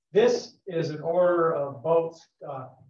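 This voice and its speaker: A man speaks with ordinary pitch variation, and room echo can be heard. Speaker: presenter. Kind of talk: lecture. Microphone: video call.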